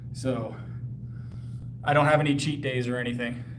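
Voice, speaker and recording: Over noticeable background noise and audible room echo, a man speaks in an American accent. His voice is medium in pitch, with ordinary pitch variation and a fairly quick pace. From US South (Texas and South Carolina). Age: 30s. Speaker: powerlifter and fitness trainer. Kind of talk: casual live stream chat while working out. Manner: articulate, clear speaker.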